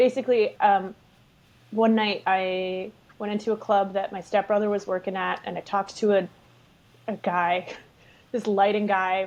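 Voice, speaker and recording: Flat, monotone intonation in a Canadian accent at a moderate pace, with long, frequent pauses and a quiet background. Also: woman, medium pitch for a woman. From Canada. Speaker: film assistant director. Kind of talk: podcast interview answer. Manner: casual, candid.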